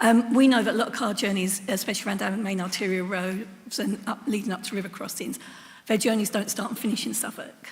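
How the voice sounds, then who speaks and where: Very fast speech comes from a woman with a medium pitch and fairly even intonation. Audible room echo surrounds her voice. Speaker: council cabinet member. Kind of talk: council meeting question.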